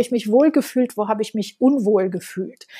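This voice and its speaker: A woman speaks at a moderate pace in a Romanian accent. Her tone is dark and mellow, her pitch fairly high with ordinary variation. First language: Romanian and French (speaking German). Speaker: education entrepreneur and author. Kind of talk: interview.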